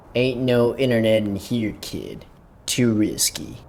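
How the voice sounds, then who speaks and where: Using a cartoonish character voice, a man speaks at a medium pitch and a fairly slow pace. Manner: blunt, deadpan.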